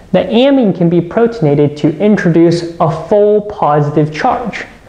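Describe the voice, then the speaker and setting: Fairly slow speech from a man, room echo clearly audible. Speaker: instructor. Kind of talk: lecture. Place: studio.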